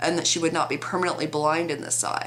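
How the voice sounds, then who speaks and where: Over noticeable background noise and audible room echo, a woman speaks in a very deep, low voice. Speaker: vlogger. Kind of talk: opinion vlog.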